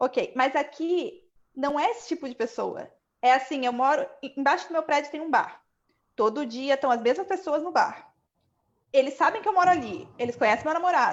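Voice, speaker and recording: A woman with a Brazilian accent speaks at a high pitch and moderate pace, her intonation lively. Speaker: economist, panel guest. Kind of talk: live online panel chat.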